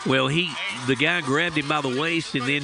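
Music plays in the background as a man speaks. His pitch is fairly high and his pace moderate. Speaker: color commentator. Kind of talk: live sports commentary. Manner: conversational, analytical, fluent with stats and player details.

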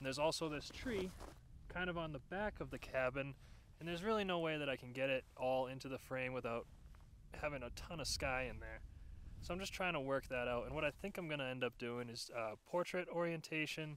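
The sound is dry, with no echo and light background noise. A man talks with ordinary pitch variation. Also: fairly quick pace. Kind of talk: casual vlog chat. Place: open country.

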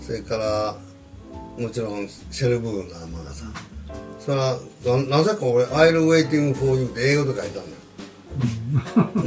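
With clear music in the background, a man in a Kansai accent speaks fairly slowly, with big swings in loudness and very wide pitch swings. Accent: Kansai Japanese. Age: 80s+. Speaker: jazz pianist. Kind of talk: casual conversation. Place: home room. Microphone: camera far.

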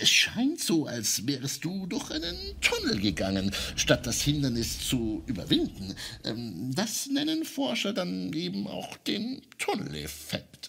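A put-on character voice from a man, fairly high in pitch and at a fairly slow pace. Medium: audio drama. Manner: patient, explanatory, gently witty.

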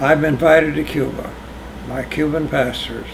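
A man's voice comes through noticeable background noise at a moderate speed. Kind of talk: oral history interview answer. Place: home room. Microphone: camera far.

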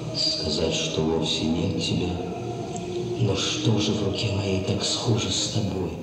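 A man talks very slowly over loud background noise, with audible room echo. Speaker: stage actor. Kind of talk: poetry reading. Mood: intense, contemplative. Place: stage.

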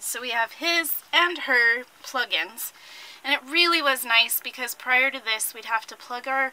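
A woman talks in a raised, projected voice. Her pace is fairly slow. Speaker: RV owner vlogger. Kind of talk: casual vlog chat. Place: home room. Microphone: phone near.

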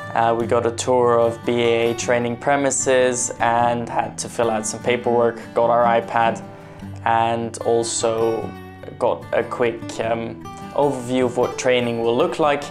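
The speech is fairly slow with fairly even intonation. Clear music plays in the background. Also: man. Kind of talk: casual vlog chat. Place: office.

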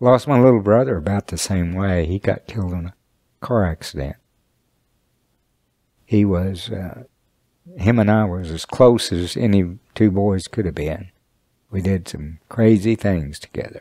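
With an Oklahoma accent, a man speaks at a fairly slow pace with long, frequent pauses, his fairly low, dark, mellow tone carrying ordinary pitch variation in a dry, close sound with no echo. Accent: Oklahoma American. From Shawnee, Oklahoma. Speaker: Sac and Fox elder. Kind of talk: personal testimony interview.

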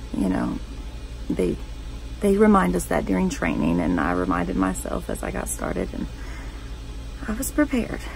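At a moderate pace, a woman's voice makes very wide pitch swings in a dry recording with no echo and light background noise. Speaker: 911 operator character, monologue performer. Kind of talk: scripted dramatic monologue, first-person acted storytelling. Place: home room. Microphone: phone near.

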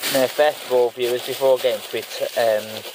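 A man at a moderate pace, dry sound with no echo and light background noise. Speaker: food reviewer. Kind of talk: casual vlog chat. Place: car. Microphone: phone near.

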